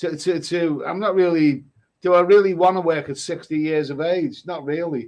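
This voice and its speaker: With a Liverpool accent, a man speaks at a high pitch using fairly even intonation. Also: moderate pace. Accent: Liverpool (Scouse). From northern England, Liverpool. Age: 60s. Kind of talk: casual chat.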